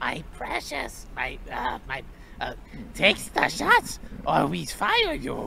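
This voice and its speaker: A put-on character voice at a very slow pace, with long, frequent pauses and clear background noise. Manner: mocking, impression.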